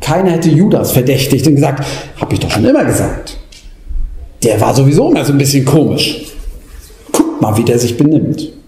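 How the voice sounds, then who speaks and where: Over noticeable background noise, a man talks at a moderate pace with long, frequent pauses. His voice is fairly high-pitched, with ordinary pitch variation. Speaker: preacher. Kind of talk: sermon, preacher in full flow. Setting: church. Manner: impassioned, rhetorical, urgent; rising, pleading delivery with repeated questions.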